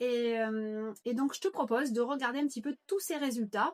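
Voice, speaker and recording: A woman with a high voice speaks at a moderate pace with ordinary pitch variation, the sound dry and close with no echo. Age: 50s. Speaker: nutrition coach. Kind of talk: informal sales pitch. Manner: hesitant, many fillers.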